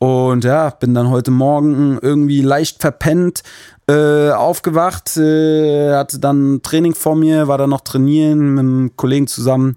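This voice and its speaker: Fairly slow and monotone, a man's fairly high voice carries a dark, mellow tone at very even loudness, the sound dry and close with no echo. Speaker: musician and podcast host. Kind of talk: casual solo monologue. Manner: hesitant with many filler sounds.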